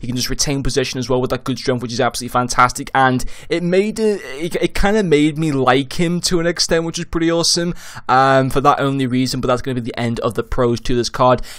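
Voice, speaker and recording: Animated and very fast, a man talks at a fairly high pitch with ordinary pitch variation. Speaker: gaming YouTuber. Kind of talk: video game review.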